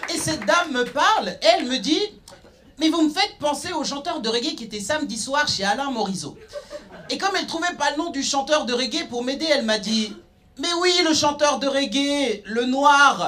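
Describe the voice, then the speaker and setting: With an extremely high pitch, a man speaks in a raised, projected voice at a moderate pace, sounding animated and confident with lively intonation over light background noise. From Nyon, Switzerland. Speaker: stand-up comedian. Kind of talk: stand-up comedy. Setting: stage with audience. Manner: animated, punchy delivery with cheeky, provocative punchlines; confident, conversational storytelling with sarcastic asides. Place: stage. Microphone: handheld.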